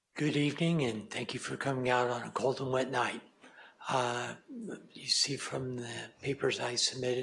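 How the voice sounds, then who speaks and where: Over noticeable background noise, a man speaks at a moderate pace with monotone, flat intonation and long, frequent pauses. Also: medium pitch for a man. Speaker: project applicant. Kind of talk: public hearing testimony. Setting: public meeting. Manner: slurred.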